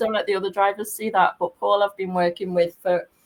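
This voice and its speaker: Speaking at a fairly quick pace with a Liverpool accent, a woman uses ordinary pitch variation. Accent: Scouse (Liverpool). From Liverpool, England. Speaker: tour guide. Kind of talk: casual chat.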